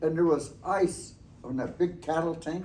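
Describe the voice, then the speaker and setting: Speech at a moderate pace carries audible room echo. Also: man. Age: 70s. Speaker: elder storyteller. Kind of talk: storytelling talk to students.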